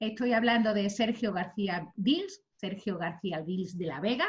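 A woman's plain, everyday voice at medium pitch, fairly slow, with ordinary pitch variation. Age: 40s. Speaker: podcast host. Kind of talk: guest introduction; casual chat.

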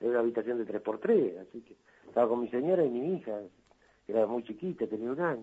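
A man at a medium pitch talks at a fairly quick pace, his pitch swinging very widely. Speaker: cartoonist. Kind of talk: interview.

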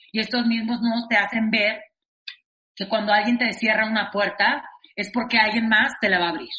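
The woman's voice is fairly high. Her intonation is monotone and flat. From Monterrey, northern Mexico. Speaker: actress and singer. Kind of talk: interview conversation. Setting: remote recording.

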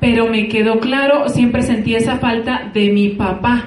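A woman's fairly high voice moves at a moderate pace with fairly even intonation, heard with audible room echo and noticeable background noise. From Colombia, rural Antioquia. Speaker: network marketing distributor. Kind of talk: testimony.

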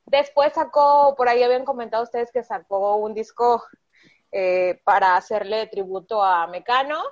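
A woman with an unremarkable speaking voice, fairly high in pitch, fairly slow, with ordinary pitch variation. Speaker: podcast co-host. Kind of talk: casual chat.

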